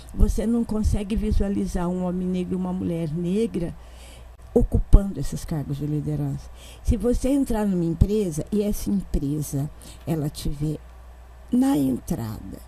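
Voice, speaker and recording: A woman speaks at a moderate pace with a fairly low pitch and lively intonation. Her tone is dark and mellow, and somewhat breathy. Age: 70s. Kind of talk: panel discussion.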